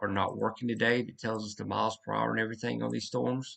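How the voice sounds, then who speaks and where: A man talks with a Southern US accent. His pace is very fast. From US South. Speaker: severe weather livestreamer. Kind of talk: live weather commentary. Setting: livestream. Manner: casual, self-correcting.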